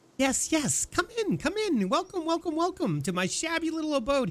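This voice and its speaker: A man cackles in a put-on character voice at an extremely high pitch and a moderate pace. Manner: cackling, welcoming.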